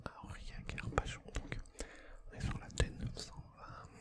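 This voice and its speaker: Whispered speech from a man, fairly slow, with noticeable background noise behind it. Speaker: ASMR creator. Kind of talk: ASMR gaming commentary.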